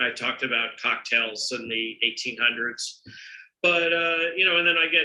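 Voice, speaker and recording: With lively intonation, a man speaks at a moderate pace in a fairly high voice. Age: 60s. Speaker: entrepreneur and drinks author. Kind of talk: webinar interview. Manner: halting, many repetitions.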